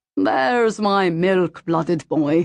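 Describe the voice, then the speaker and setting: A put-on character voice at a middle pitch. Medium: read story. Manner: cheerful with a hard, menacing edge.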